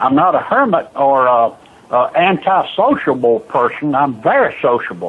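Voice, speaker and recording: Very wide pitch swings mark a man with a fairly high pitch. His loudness stays very even and his pace moderate. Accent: Southern US. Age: 70s. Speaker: retiree selling signs. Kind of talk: phone conversation. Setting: phone call.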